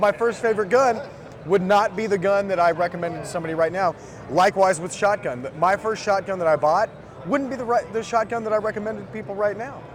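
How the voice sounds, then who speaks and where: A man with an American accent, high-pitched and very fast, with ordinary pitch variation, over noticeable background noise. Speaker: firearms company representative. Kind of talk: product demo interview. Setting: trade show booth.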